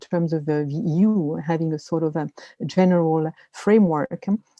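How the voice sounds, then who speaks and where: A woman speaks with a dark, mellow tone at a fairly low pitch and ordinary pitch variation. The sound is dry and close with no echo, over a quiet background. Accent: French. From France. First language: French. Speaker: media literacy expert. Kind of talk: webinar presentation. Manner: hesitant, many fillers.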